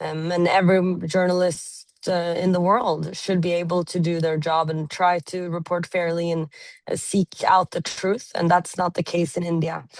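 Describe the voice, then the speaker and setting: A woman speaks in a flat monotone at a moderate pace, with a fairly low pitch. She has a Norwegian accent, and the background is quiet. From Norway. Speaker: journalist. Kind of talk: interview.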